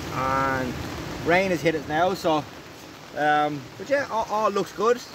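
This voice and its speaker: A man's dry voice with no echo amid noticeable background noise. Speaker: angler vlogger. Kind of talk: casual vlog chat. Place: tent. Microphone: phone near.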